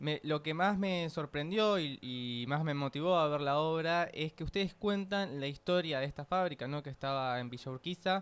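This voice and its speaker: With a Rioplatense accent, a man with a fairly high pitch talks at a moderate pace with hardly any pauses and ordinary pitch variation. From Buenos Aires, Argentina. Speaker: radio host. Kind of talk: radio interview.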